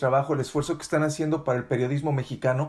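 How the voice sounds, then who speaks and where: A man talks at a very fast pace. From Mexico. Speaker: podcast host, journalist. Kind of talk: interview.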